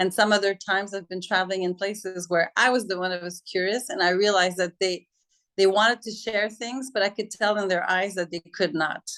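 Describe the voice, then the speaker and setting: Intonation fairly even, a woman talks at a fairly quick pace. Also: medium pitch for a woman. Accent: French. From Quebec, Montreal. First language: French. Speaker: interviewee on intercultural perspectives. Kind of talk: interview.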